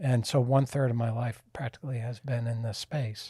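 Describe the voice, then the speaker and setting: A man's tone is dark and mellow, with a somewhat breathy edge. His intonation remains fairly even throughout. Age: 60s. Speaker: podcast host, cancer survivor. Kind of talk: casual chat.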